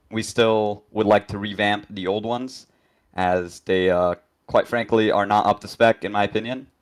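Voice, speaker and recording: Over a silent background in a very clean recording, a man with a fairly low pitch speaks at a moderate pace in a flat monotone. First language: not English. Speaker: game developer, 3D modeler. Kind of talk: live dev stream chat. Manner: hesitant, many fillers.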